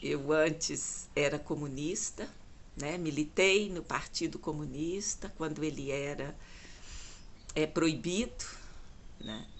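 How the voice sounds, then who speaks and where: A woman speaks at a very slow pace. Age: 60s. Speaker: lay preacher. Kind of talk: devotional talk. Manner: halting.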